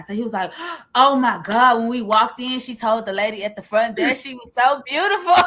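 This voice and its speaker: A woman's animated tone at a fairly quick pace. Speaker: podcast co-host. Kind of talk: casual chat. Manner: loud.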